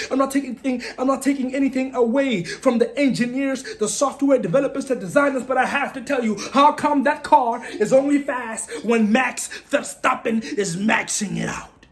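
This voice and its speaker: Loud and animated, a man speaks at a moderate pace with an extremely high pitch and ordinary pitch variation over noticeable background noise. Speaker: sports commentary channel host. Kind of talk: casual sports opinion monologue.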